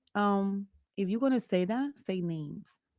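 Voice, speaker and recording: A woman with a Spanish accent and ordinary pitch variation. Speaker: podcast co-host. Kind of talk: casual chat. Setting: live stream.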